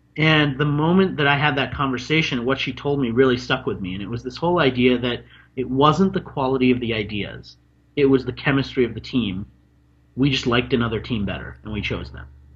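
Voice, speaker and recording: Somewhat breathy, a man with an American accent speaks fairly quickly at medium pitch with ordinary pitch variation. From Washington D.C. area, US. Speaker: marketing expert and author. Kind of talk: interview.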